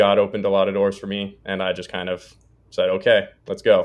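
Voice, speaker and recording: With an American accent, the speaker talks at a moderate pace. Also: man. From Texas, Dallas. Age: 20s. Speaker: real estate investor, former pro hockey player. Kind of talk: podcast interview. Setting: podcast.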